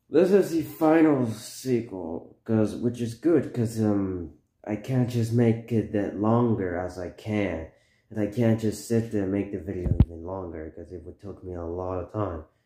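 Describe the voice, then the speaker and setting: Light background noise and audible room echo surround a voice whose loudness swings widely. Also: man, fairly low pitch for a man, moderate pace. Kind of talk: casual vlog chat. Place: home room. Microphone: phone near.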